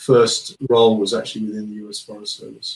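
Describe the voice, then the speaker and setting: A man speaks with a strong British accent. His voice is somewhat breathy. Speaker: geospatial consultant and founder. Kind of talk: interview.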